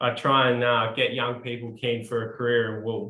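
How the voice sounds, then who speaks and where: Speaking at a fairly slow pace, a man with an Australian accent uses a medium pitch. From New South Wales, Australia. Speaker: webinar co-host, agricultural education officer. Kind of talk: self-introduction on webinar. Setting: video call webinar. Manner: hesitant with many fillers.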